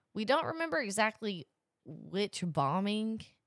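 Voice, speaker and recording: A woman with a plain, everyday voice speaks in an American accent at a moderate pace and medium pitch, her intonation lively and the sound dry and close without echo. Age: young. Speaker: podcast co-host, college student. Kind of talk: casual chat.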